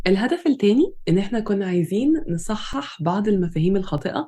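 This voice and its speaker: Her voice sits at a medium pitch for a woman, with a dark, mellow tone. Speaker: pharmacy lecturer and podcast co-host. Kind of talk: scripted introduction.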